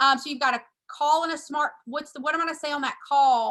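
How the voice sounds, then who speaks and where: A raised, projected voice from a woman, bright and sharp in tone. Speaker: real estate coach. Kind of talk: training call presentation. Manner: loud; fast.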